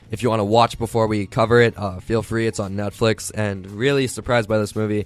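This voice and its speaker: Noticeable background noise sits behind a man talking at a very fast pace. His intonation is monotone and flat. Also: fairly low pitch for a man. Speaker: podcast host. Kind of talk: casual podcast talk. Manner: conversational, filler-heavy.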